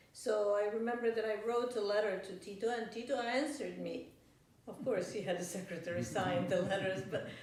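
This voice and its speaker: Amid noticeable background noise and audible room echo, a woman speaks at a fairly quick pace with a medium pitch and ordinary pitch variation. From Yugoslavia (Belgrade), also Francophone Africa. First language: Serbian. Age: 60s. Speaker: professor. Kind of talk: interview. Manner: hesitant, with fillers and restarts.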